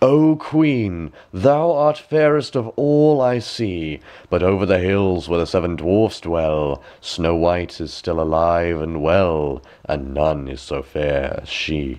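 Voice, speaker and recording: Putting on a character voice, a man speaks at a fairly slow pace with a very deep, low pitch. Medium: read story. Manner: solemn, oracular.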